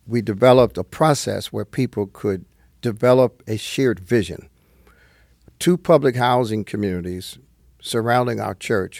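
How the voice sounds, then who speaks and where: Recorded very cleanly against a silent background, with a dry, close sound and no echo, a man with a New Jersey accent speaks at a moderate pace and medium pitch with ordinary pitch variation. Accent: New Jersey American English. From northern New Jersey. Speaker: retired pastor, nonprofit chairman. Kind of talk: interview conversation.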